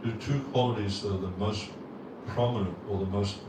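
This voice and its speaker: Noticeable background noise and audible room echo surround the speaker. A man talks at a fairly low pitch with fairly even intonation. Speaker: Hare Krishna monk / spiritual teacher. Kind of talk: religious lecture. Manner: halting, repeats words. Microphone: bassy sound with echo.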